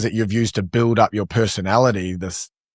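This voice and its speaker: A man with a New Zealand accent on a very clean recording, silent background, dry and close with no echo. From New Zealand, Palmerston North. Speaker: e-commerce entrepreneur. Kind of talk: podcast interview.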